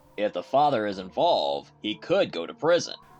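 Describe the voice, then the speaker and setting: This is a put-on character voice with very wide pitch swings. It moves at a fairly quick pace. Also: man, medium pitch for a man. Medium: audio drama. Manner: warm, reassuring.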